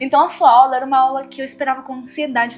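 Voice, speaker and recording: A woman speaks at a very fast pace with a slight Cuban accent, her pitch high. Music plays in the background. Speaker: dentist, former student. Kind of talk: interview.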